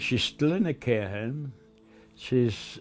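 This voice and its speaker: Music plays behind a man with a medium-pitched voice. His intonation is lively. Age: 80s+. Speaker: older carer. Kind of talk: interview testimony.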